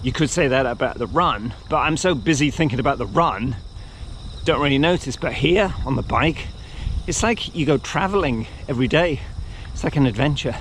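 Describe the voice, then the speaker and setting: A man talks at a moderate pace with a fairly high pitch and lively intonation. There is noticeable background noise. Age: 60s. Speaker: cycling and running vlogger. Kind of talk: casual vlog monologue. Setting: outdoors, riding a bike.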